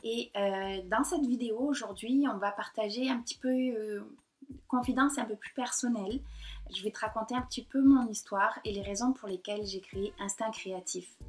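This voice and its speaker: With a somewhat breathy, fairly high voice, a woman speaks at a moderate pace, her pitch varying in an ordinary way. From southern France, Côte d'Azur. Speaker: painter and blogger. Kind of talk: personal vlog monologue. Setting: talking to computer camera. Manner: hesitant, many fillers.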